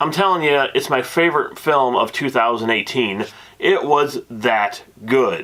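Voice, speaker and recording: This man's voice is fairly high in pitch with a bright, sharp tone, lively intonation and a fairly slow pace. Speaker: movie reviewer. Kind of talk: movie review. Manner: loud; animated.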